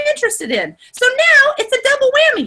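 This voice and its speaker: A woman projects a raised voice with a bright, sharp tone. She talks fairly quickly, her pitch swinging very widely. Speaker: online group coach. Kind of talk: live video call workshop. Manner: animated.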